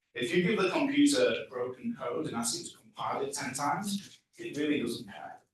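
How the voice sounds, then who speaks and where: A man speaks with an English accent. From England. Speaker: tech leadership coach. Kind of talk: conference talk. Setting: stage with audience. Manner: animated.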